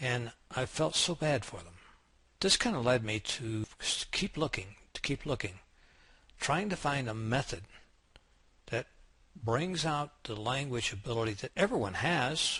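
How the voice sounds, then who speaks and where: Long, frequent pauses break up a man's fairly slow speech. He has an American accent and a bright, sharp tone. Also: medium pitch for a man, lively intonation, quiet background. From United States. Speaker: English teacher. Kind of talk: sales pitch.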